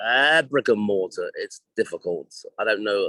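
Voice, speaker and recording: A man with an English accent. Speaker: hairdressing educator and former salon owner. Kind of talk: interview. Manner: halting.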